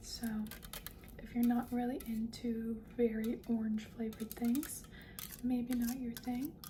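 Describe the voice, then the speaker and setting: Over noticeable background noise, a soft-spoken woman talks at a fairly high pitch with monotone, flat intonation. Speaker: ASMR content creator. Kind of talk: soft-spoken ASMR talk to camera. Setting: close-mic recording with tapping sounds. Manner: soft-spoken, slow, repetitive.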